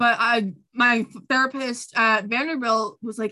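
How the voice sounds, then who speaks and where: This is a woman with an ordinary speaking voice and a fairly high pitch. Her pitch varies in an ordinary way. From Long Island, New York. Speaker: flutist and music education student. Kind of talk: casual chat.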